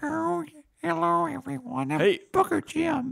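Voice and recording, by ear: A put-on character voice at a middle pitch moves along at a very slow pace.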